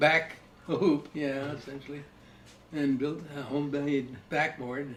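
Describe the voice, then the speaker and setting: Speaking at a very slow pace, a man keeps a monotone, flat intonation at a fairly high pitch. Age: old. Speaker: grandfather. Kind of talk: interview answer. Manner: casual, reminiscing.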